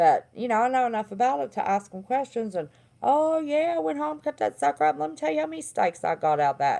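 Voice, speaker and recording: With a Southern accent and a dark, mellow tone, this voice races along at a very fast pace with very wide pitch swings, on a very clean recording with a silent background. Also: woman, medium pitch for a woman. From West Virginia. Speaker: livestream host, former therapist. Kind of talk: casual livestream monologue.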